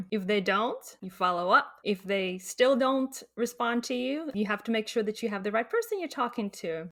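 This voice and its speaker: A woman's fairly high voice in a Latvian accent, at a moderate pace with ordinary pitch variation. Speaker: clinical research contract negotiator. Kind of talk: interview.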